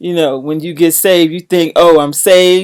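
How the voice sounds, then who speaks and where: A woman speaks with a very deep, low pitch and fairly even intonation. The recording is very clean with a silent background. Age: 60s. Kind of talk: testimony.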